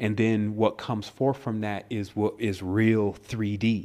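A man speaks at a moderate pace in a normal speaking voice, pitched fairly low. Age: 30s. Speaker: spiritual teacher and author. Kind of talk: interview. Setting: phone call.

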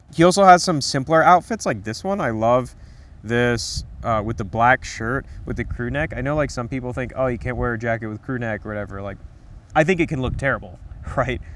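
A man talks at a fairly quick pace. The sound is dry with no echo, and there is light background noise. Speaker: menswear commentator. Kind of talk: commentary. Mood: relaxed, enthusiastic. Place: garden. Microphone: lapel.

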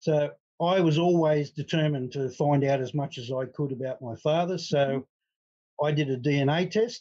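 A man's dark, mellow tone at a fairly high pitch, moderate pace and ordinary pitch variation. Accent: Australian. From Australia. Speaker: retired accountant, adoptee. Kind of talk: interview conversation.

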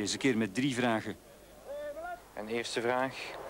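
A man's medium-pitched voice in a Flemish accent, at a fairly quick pace. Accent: Flemish Dutch. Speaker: news reporter. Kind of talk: 1989 TV news reporting, scripted voice-over. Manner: formal, measured.

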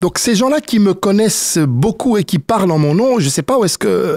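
Recorded dry and close with no echo, a man speaks at a fairly slow pace with very wide pitch swings. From Congo. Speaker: youth football coach. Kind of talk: interview. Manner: halting, many fillers.

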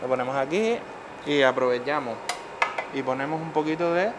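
Clear background noise sits behind the recording. A man speaks at medium pitch with ordinary pitch variation. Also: moderate pace.

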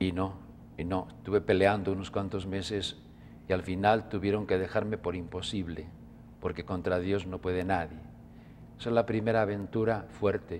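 Light background noise sits under the speech. The intonation stays fairly even, broken by long, frequent pauses. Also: man, very deep, low pitch for a man, moderate pace. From Spain. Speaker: religious brother and author. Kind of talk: interview. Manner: gentle and calm. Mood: calm, gentle. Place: studio. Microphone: lapel.

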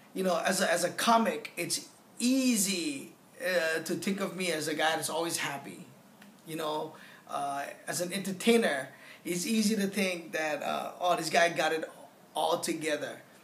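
A man's high voice moves at a moderate speed, its pitch rising and falling an ordinary amount. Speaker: comedian giving a testimonial. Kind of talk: interview answer. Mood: reflective, candid. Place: home room. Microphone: phone near.

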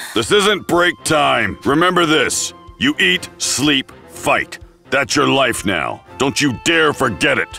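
A man's put-on character voice, fairly high for a man, at a fairly slow pace over clear background music. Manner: gruff, commanding.

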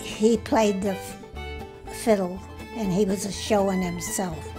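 Music plays in the background as a woman speaks with a rural New England accent. Her pace is fairly slow. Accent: rural New England American. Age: 80s+. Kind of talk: interview answer. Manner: halting, reminiscing.

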